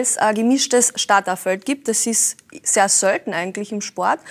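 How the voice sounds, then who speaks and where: A woman with a Carinthian accent, dry, close sound with no echo, and noticeable background noise. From Carinthia, Austria. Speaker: racing driver and florist. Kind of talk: talk show conversation.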